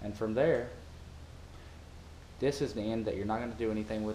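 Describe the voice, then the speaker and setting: With a strong Southern US accent, a man talks at a moderate pace and medium pitch, with audible room echo. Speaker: parasailing worker. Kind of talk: tutorial. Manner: casual.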